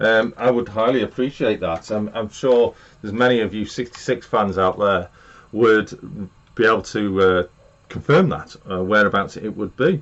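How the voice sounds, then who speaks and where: A man with an English accent, fairly low pitch, ordinary pitch variation and a moderate pace. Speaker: model railway YouTuber. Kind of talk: live stream chat. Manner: loud.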